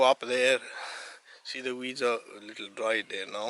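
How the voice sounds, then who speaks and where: Noticeable background noise sits behind a man's voice. The sound is dry and close, with no echo. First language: Arabic. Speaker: hiker vlogger. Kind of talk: casual vlog narration. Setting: outdoors on a mountain hike. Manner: halting, with self-corrections.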